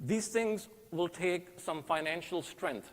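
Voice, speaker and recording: Here a man speaks at a high pitch. His pitch variation is ordinary. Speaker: candidate for mosque board. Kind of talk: campaign speech. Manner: fast.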